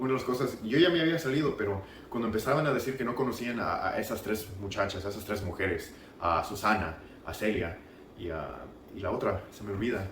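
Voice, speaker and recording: Lively intonation in an American accent, with audible room echo and noticeable background noise. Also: man, fairly low pitch for a man. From US South (Marietta, Georgia). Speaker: former church member giving testimony. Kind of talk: testimony. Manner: halting.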